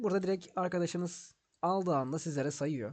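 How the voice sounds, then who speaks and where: In a quiet background, a man speaks in a dark, mellow tone with ordinary pitch variation. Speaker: gaming YouTuber. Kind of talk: gameplay tutorial. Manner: casual, rambling.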